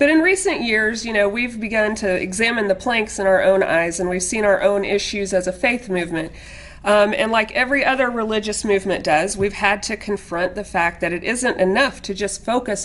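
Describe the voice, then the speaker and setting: With noticeable noise in the background, a woman at a medium pitch talks with hardly any pauses. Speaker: Unitarian Universalist panelist. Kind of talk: interfaith panel talk. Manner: fast.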